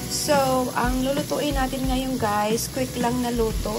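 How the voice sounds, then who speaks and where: Loud music plays in the background as the speaker talks at a moderate pace. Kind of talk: casual cooking tutorial. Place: kitchen. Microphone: phone near.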